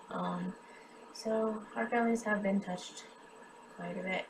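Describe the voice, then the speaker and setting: Over music in the background, a woman speaks at a fairly slow pace. She has an American accent and a medium-pitched voice. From US Midwest, western Kansas. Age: 30s. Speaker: cancer patient and charity drive host. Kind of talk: personal testimony. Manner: halting, many filler ums.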